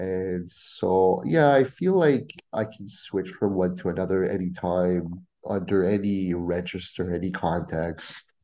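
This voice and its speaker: Against a quiet background, a man speaks at a fairly slow pace with a very deep, low pitch and ordinary pitch variation. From Ontario, Canada (Franco-Ontarian, near Ottawa). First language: French. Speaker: Spanish teacher and graduate student. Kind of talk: casual interview.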